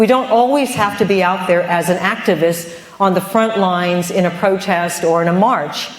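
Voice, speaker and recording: A woman with a medium pitch and ordinary pitch variation talks at a moderate pace with hardly any pauses and very even loudness, against noticeable background noise and audible room echo. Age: 50s. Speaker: vegan food entrepreneur and cookbook author. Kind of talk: conference talk. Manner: animated.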